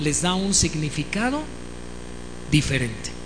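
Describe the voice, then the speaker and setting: The speaker has an animated tone and a fairly slow pace. Noticeable background noise is heard. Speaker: preacher and musician. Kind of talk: sermon.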